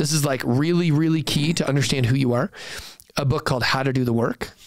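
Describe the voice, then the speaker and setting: Over noticeable background noise, a man talks at a very fast pace in a fairly high pitch. His tone is animated and his loudness very even. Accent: American. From San Francisco Bay Area, US. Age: 40s. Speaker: startup founder and investor. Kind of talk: podcast interview.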